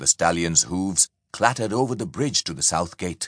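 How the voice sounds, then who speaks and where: A dramatic, animated delivery with very wide pitch swings and vocal fry, at a moderate pace, dry and close with no echo over a quiet background. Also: man. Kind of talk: audiobook narration of historical fiction, scripted reading aloud. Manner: measured, dramatic storytelling pace with vivid, animated delivery.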